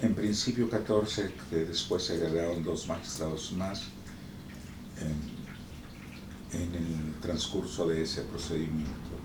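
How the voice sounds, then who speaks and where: A man speaks at a very slow pace in a very deep, low voice. Noticeable background noise sits behind him. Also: ordinary pitch variation. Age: 70s. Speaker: retired judge. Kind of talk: interview answer.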